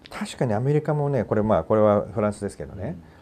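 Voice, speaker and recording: A man talks at a very fast pace in a dark, mellow tone, his pitch swinging very widely. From Japan. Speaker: talk show host. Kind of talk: casual discussion about films. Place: studio.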